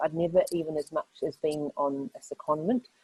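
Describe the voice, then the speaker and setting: A woman speaks with a New Zealand accent. Her pitch is fairly low. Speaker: lawyer. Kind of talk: panel discussion.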